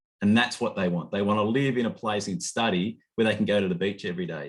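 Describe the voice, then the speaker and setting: Here a man speaks with an Australian accent. The recording is very clean, with a silent background. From rural Australia. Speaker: study abroad program director. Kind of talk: information session presentation. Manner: halting, many false starts.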